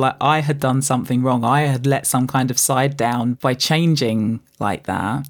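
A woman with a London accent speaks with ordinary pitch variation on a very clean recording with a silent background, the sound dry and close with no echo. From East London, England, West Indian parents. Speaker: coffee blogger and author. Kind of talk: personal storytelling.

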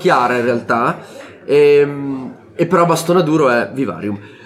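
With noticeable noise behind him, the man talks fairly slowly, his pitch moving in an ordinary way. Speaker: board game podcast host. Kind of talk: casual chat.

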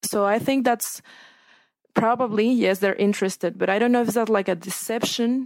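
Speaking with a Spanish accent at a moderate pace, a woman keeps fairly even intonation in a very clean recording with a silent background and a dry, close sound with no echo. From Mexico, Sinaloa. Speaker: newspaper reporter. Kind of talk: casual chat.

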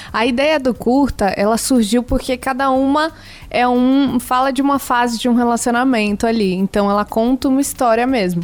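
In a high pitch, a woman talks with very even loudness and fairly even intonation. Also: moderate pace. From Rio de Janeiro, Brazil. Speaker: singer in a duo. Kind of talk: radio interview. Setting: radio studio.

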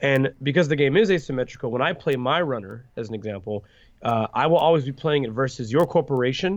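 A man talks at a medium pitch in an ordinary speaking voice with ordinary pitch variation. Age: 20s. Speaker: card game designer. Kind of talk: interview.

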